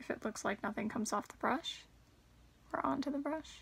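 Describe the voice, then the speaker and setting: A woman talks in a bright, sharp tone with vocal fry. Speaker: beauty vlogger. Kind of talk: casual makeup tutorial chat. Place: home room. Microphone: phone near.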